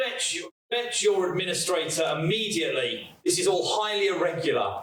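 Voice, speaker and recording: A raspy, put-on character voice speaks at a moderate pace. There is audible echo. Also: man, high pitch for a man. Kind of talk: formal, imperious. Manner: authoritative, commanding.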